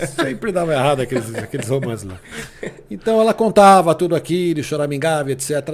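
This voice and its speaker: A man's fairly high voice, fairly quick, with very wide pitch swings amid noticeable background noise. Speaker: sports radio announcer. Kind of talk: interview answer, casual storytelling.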